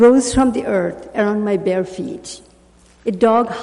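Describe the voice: Pitch shifting in an ordinary way during plain reading aloud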